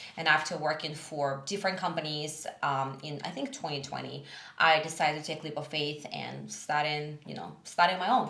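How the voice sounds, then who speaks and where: A woman speaks in a very deep, low voice with fairly even intonation and big swings in loudness, at a moderate pace with hardly any pauses, amid audible room echo and noticeable background noise. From Russia, Siberia. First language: Russian. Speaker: small business owner. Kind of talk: podcast interview.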